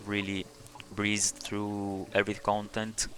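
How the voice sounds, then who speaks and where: At a moderate pace, a man talks in a fairly low pitch with monotone, flat intonation. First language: not English. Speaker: video game tutorial creator. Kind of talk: game build tutorial. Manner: halting, many fillers.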